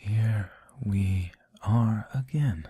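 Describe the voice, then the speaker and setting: At a very slow pace, the speaker has a somewhat breathy, dark, mellow and soothing tone with ordinary pitch variation. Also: man. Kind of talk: ASMR sleep reading, casual commentary. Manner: soft-spoken, soothing.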